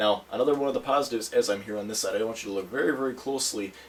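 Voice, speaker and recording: Noticeable background noise sits behind a man's very fast delivery. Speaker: tech reviewer. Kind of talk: product review video. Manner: casual, conversational with fillers.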